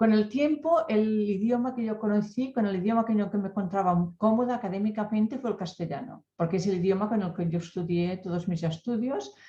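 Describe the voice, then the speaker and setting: A woman with a Catalan accent speaks fairly quickly with hardly any pauses, at a medium pitch with ordinary pitch variation. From Catalonia, rural mountain area. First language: Catalan (speaking Spanish). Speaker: academic researcher. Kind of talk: panel discussion. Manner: halting, with many fillers.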